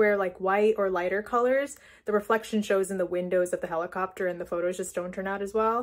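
A woman with fairly even intonation against a quiet background. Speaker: vlogger. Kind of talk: casual vlog chat. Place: home room. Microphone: phone near.

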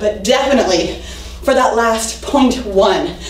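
Light background noise can be heard. There is audible echo in the room. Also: woman. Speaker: fitness instructor. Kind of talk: workout coaching. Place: empty room. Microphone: camera far.

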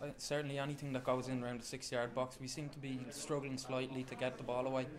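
The man's pitch is medium and his pace is fast. His intonation is fairly even.

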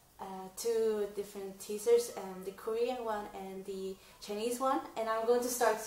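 A woman talks in an excited tone at a fairly slow pace, her loudness swinging widely. Audible room echo surrounds her voice. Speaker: reaction vlogger. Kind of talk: casual reaction vlog to camera. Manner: excited, hesitant with many fillers. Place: home room. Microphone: camera far.

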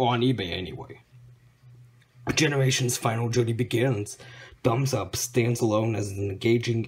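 A somewhat breathy man at a moderate pace, with light background noise. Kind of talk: casual collection update vlog. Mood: pleased, excited. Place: home room. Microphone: phone near.

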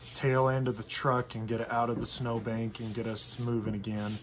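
A man talks with monotone, flat intonation. Light background noise is present. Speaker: vlogger narrating. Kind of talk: casual vlog chat. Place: home room. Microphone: webcam.

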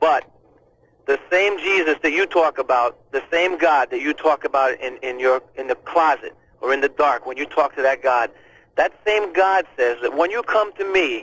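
A man's voice at a moderate pace with ordinary pitch variation, dry sound and no echo. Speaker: radio caller. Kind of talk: call-in talk, heartfelt advice.

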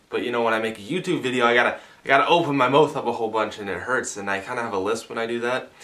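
A man speaks at a very fast pace. His pitch is fairly low, with ordinary variation. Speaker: video blogger. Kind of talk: casual vlog chat. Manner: sore mouth, barely opened, slight lisp. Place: home room. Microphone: camera far.

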